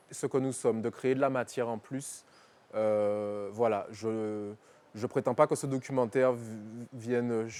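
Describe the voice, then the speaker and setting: With a dark, mellow tone and medium pitch, a man speaks at a fairly slow pace with fairly even intonation and long, frequent pauses on a very clean recording with a silent background. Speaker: film director and slam poet. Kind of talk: interview. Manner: halting.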